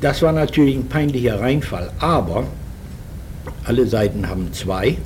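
Lively in intonation and medium in pitch, a man speaks at a fairly slow pace amid noticeable background noise and audible room echo. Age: 60s. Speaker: former wartime propaganda radio journalist. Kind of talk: oral history interview. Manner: halting, with frequent fillers.

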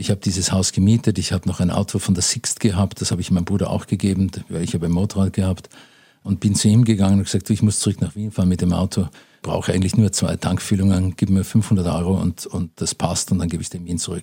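A man with a very deep, low pitch and a dark, mellow, somewhat breathy tone talks at a very fast pace in a monotone, flat intonation. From Austria, Vienna. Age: 60s. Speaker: businessman in inheritance dispute. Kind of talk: interview.

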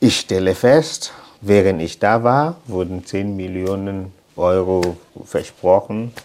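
His pitch shifts in an ordinary way. The voice is a man's, fairly low in pitch. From Cameroon, anglophone region (Limbe). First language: English (also French) (speaking German). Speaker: mayor. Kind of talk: casual interview. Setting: outdoors, walking through town.

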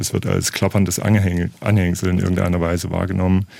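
A man with a very deep, low voice talks at a moderate pace, his intonation fairly even. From Thuringia, eastern Germany. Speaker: literature professor. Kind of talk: radio interview.

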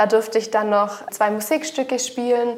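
Noticeable background noise sits behind a woman's voice. Her pitch is fairly high, and her intonation is monotone and flat. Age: 20s. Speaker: funeral director. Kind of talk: explanatory interview. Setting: on location at a funeral home.

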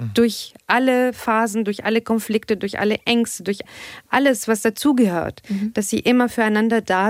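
A woman speaks at a moderate pace in an ordinary speaking voice, her fairly high pitch held to fairly even intonation, with a dry, close sound and no echo. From Tunisia (Tunis). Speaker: aerospace engineer and sex therapist. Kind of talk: casual chat.

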